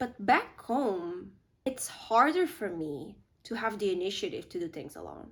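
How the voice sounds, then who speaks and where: A woman speaks at a fairly slow pace with a fairly high pitch and very wide pitch swings. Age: 20s. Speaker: YouTuber. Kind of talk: casual talk to camera.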